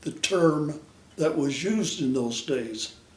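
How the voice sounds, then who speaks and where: Very slowly, a man with an American accent speaks in a fairly high pitch with ordinary pitch variation, amid noticeable background noise and audible room echo. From Utah, Salt Lake City. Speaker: retired brick mason. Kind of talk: family storytelling interview.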